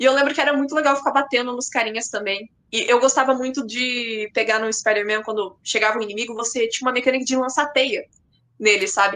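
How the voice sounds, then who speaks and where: A woman's high voice, very fast, with fairly even intonation. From Paraná, Brazil. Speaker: content creator. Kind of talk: podcast interview.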